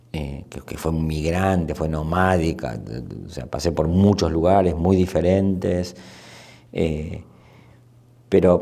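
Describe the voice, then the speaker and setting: The voice is dark and mellow, moving at a very slow pace with long, frequent pauses, fairly even intonation and big swings in loudness. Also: man, very deep, low pitch for a man. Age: 60s. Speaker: anthropologist and sociologist. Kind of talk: interview. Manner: halting, many repetitions and fillers.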